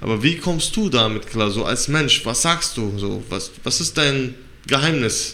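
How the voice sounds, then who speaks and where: A man's medium-pitched voice at a fairly slow pace, lively intonation, and audible room echo. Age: 30s. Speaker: podcast co-host and MMA trainee. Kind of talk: interview.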